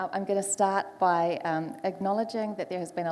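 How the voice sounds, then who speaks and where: A woman with a New Zealand accent speaks fairly quickly in a dark, mellow tone with monotone, flat intonation. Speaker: panel moderator, foresight specialist. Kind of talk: panel discussion moderation.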